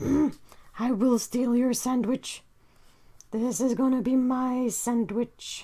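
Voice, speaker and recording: A female-sounding put-on character voice, high-pitched and menacing in tone, speaks at a very slow pace. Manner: silly, menacing.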